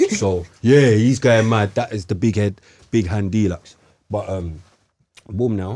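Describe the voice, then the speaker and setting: At a fairly slow pace, a man with a fairly low pitch and a dark, mellow tone talks with ordinary pitch variation and long, frequent pauses. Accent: London. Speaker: podcast host. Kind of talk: casual chat.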